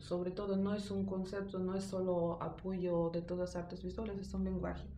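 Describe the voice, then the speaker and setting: The voice carries a non-native accent and a monotone, flat intonation at a moderate pace. Audible room echo and noticeable background noise surround it. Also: woman. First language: not Spanish (speaking Spanish). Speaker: art teacher. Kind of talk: interview. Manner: halting.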